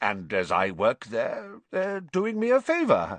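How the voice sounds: A man's put-on character voice, slow-paced and medium-pitched, fairly bright in tone, with very wide pitch swings and a dry, close sound with no echo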